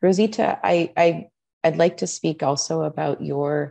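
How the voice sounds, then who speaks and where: The speaker is a woman. Behind her the background is quiet. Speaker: art museum curator; moderator. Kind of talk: moderated interview. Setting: art gallery. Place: home room. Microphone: video call.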